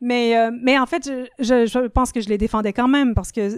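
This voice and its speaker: A woman's high-pitched voice comes through dry and close, with no echo. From Ontario, Canada (francophone, Quebecois parents). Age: 50s. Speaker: literature professor and writer. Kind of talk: podcast interview.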